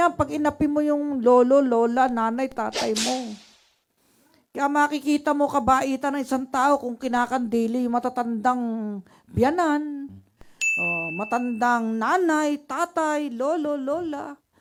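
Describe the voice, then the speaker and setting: On a very clean recording with a silent background, a woman with a high pitch speaks at a fairly slow pace. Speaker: public attorney giving legal advice. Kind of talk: legal advice program commentary.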